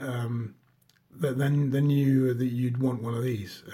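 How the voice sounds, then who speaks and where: Somewhat breathy, with a dark, mellow tone, a man speaks at a moderate pace and medium pitch. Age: 40s. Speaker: watch reviewer, former diver. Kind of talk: casual show-and-tell video review. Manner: hesitant, many fillers and repetitions.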